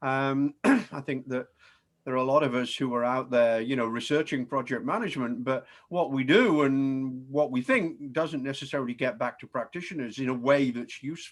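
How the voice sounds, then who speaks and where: A man with a British accent at a moderate pace and ordinary pitch variation, in a very clean recording with a silent background. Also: medium pitch for a man. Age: 60s. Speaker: professor. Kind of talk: presentation. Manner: hesitant, many fillers.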